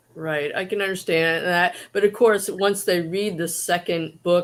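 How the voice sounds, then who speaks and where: With an American accent, a woman speaks at a moderate pace in a monotone, flat intonation. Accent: Boston accent, comes out. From Boston. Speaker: moderator of author Q&A. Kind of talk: livestream interview. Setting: livestream.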